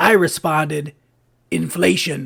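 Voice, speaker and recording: A raspy put-on character voice with a low-to-middle pitch. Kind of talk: stand-up joke telling. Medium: cartoon. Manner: brisk, deadpan punchline delivery.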